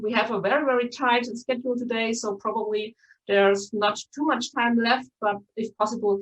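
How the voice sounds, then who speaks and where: A woman's fairly high voice with a Bavarian German accent. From Bavaria, Germany. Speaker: conference host, journalist. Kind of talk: event moderation, welcome address. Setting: live-streamed online conference. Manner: many filler words, um and uh.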